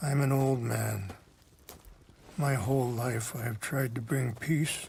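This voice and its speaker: Using a raspy, put-on character voice, a man speaks at medium pitch and a fairly slow pace with ordinary pitch variation. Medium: video game. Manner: soft-spoken, measured.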